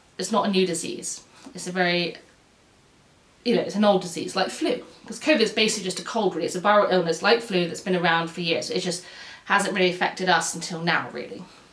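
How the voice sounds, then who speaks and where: A woman's very fast speech at medium pitch with ordinary pitch variation, plus audible room echo and noticeable background noise. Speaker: YouTube presenter on medical history, nurse. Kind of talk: casual educational talk to camera. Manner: halting, self-correcting.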